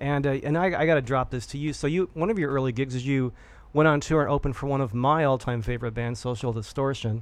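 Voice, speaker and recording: The delivery is very fast. Pitch variation is ordinary. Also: man, fairly high pitch for a man. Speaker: radio host. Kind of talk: radio interview. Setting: studio.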